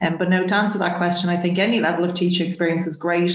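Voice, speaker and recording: A woman speaks with a Dublin accent. Her intonation is flat and monotone. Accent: Irish (Dublin). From Dublin, Ireland. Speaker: chemistry professor. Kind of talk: interview.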